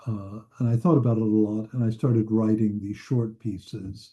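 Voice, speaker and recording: A man with an American accent speaks at a fairly low pitch in a dark, mellow tone. His delivery is somewhat breathy, with monotone, flat intonation. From US Midwest, northern Indiana. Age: 70s. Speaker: psychoanalyst and author. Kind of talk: interview.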